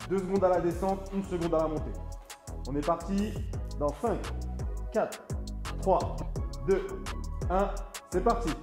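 A man with long, frequent pauses over clear music in the background. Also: moderate pace. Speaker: fitness coach. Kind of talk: workout instruction. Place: gym.

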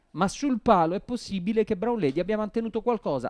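On a very clean recording with a silent background, the speaker moves at a fairly quick pace. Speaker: horse race commentator. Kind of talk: live race commentary. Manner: formal, precise, with measured hedging at the photo finish.

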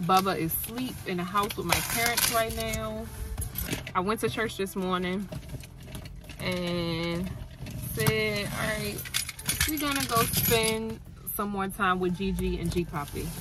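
Loud background noise surrounds a woman speaking at a fairly slow pace with long, frequent pauses. The sound is dry, with no echo. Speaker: beauty vlogger. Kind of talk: casual vlog chat. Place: car. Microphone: phone near.

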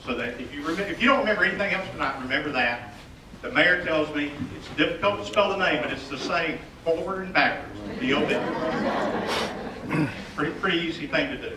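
A man talking fairly quickly amid loud background noise. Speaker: city staff host. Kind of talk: public meeting welcome speech. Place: hall.

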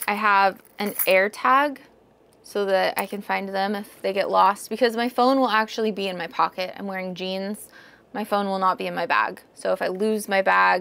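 Fairly even intonation in a bright, sharp tone, at a moderate pace. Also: woman. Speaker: vlogger. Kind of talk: casual vlog chat. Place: home room. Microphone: lapel.

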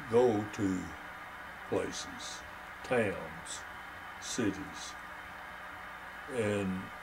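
A man with a West Texas accent, fairly low in pitch, fairly even in intonation, over noticeable background noise. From Texas, Crosbyton. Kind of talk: interview answer. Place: home room.

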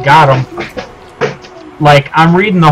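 Faint music sits in the background. Over it, a man talks at a very slow pace. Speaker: game streamer. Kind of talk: casual gameplay commentary. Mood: excited, playful, frustrated by lag.

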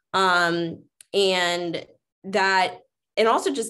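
Against a quiet background, a woman with an American accent speaks at a medium pitch in a bright, sharp tone with fairly even intonation. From US Midwest. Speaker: diversity officer at a college; panelist. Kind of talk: panel discussion. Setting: video call. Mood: earnest, reflective. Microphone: video call.

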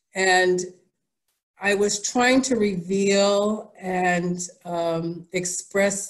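A woman with an American accent, fairly even in intonation, against a quiet background. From New York City. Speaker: artist. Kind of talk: presentation. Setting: video call from her studio. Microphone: video call.

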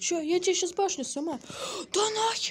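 A woman is speaking here. Her voice is somewhat breathy. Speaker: gaming youtuber. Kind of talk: gameplay commentary. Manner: animated.

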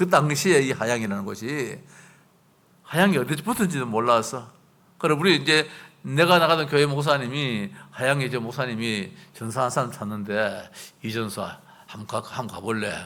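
Audible room echo surrounds a man whose medium-pitched voice has a bright, sharp tone, lively intonation and a moderate pace. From South Korea, Gyeongbuk (Chilgok). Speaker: pastor. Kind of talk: sermon.

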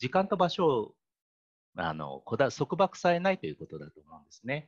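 A fairly quick man with very wide pitch swings, against a quiet background. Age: 40s. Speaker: care home manager. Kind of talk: presentation. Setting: online video call. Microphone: video call.

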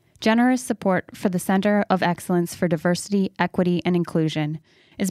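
A woman's a normal speaking voice at a fairly low pitch and a fairly quick pace, with a dry, close sound with no echo on a very clean recording with a silent background. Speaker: podcast interviewer. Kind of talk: interview conversation.

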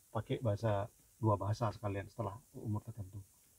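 On a dry recording with no echo, a man speaks at a fairly low pitch in a dark, mellow, somewhat breathy voice with monotone, flat intonation. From Indonesia. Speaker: vlogger and parent; vlogger. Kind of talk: casual vlog talk. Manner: halting. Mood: calm explanatory. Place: car. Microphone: phone near.

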